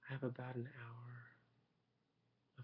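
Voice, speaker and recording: A man speaks at a fairly slow pace and a medium pitch. His intonation is monotone and flat. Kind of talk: ASMR soft-spoken talk to camera, tea meditation. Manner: soft-spoken, whispered, relaxed.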